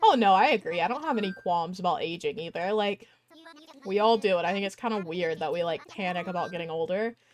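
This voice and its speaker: The woman has an American accent and keeps a moderate pace. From US South. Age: 20s. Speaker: gaming streamer. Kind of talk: casual chat. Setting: live stream.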